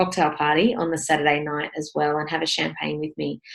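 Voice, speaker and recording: This is a woman with an Australian accent. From New South Wales, Australia. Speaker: property investment mentor. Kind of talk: webinar presentation with sales pitch. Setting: online webinar. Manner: casual, with frequent fillers.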